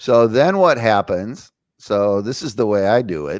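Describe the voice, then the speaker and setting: This man has an unremarkable speaking voice, pitched fairly low, with lively intonation. The recording is very clean, with a silent background and a dry, close sound free of echo. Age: 60s. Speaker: spiritual talk show host. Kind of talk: casual chat.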